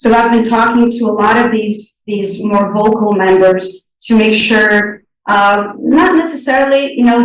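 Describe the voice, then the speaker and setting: A woman with a Portuguese accent speaks at a moderate pace in a fairly high voice, with audible echo in the room. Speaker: sustainability board candidate. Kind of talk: interview. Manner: halting, many fillers.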